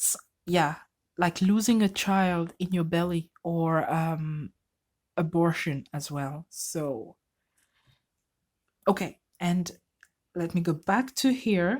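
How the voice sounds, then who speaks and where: With a non-native accent, a woman talks at a very slow pace and a fairly low pitch. Her speech has long, frequent pauses. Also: ordinary pitch variation. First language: not English. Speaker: tarot reader. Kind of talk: tarot reading. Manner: halting.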